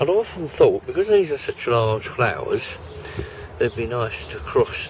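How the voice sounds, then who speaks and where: Noticeable background noise is heard as a man speaks at a moderate pace. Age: 80s+. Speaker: vlogger. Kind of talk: casual chat.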